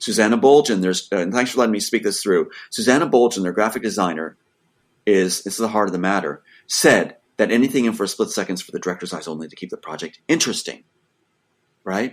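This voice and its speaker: A man speaks very fast at a fairly low pitch with ordinary pitch variation. His loudness swings widely on a very clean recording with a silent background. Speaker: screenwriter. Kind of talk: interview. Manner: animated.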